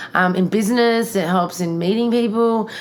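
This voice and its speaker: At a moderate pace, a woman speaks with an Australian accent and ordinary pitch variation. Background noise is noticeable. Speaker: podcast host. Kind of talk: casual chat.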